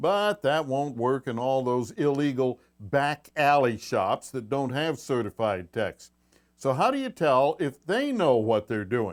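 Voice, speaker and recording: In a quiet background, a man with a fairly high pitch talks at a fairly slow pace, his voice making very wide pitch swings. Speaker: radio show host, auto repair expert; radio show host. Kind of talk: live call-in radio show host. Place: studio. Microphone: lapel.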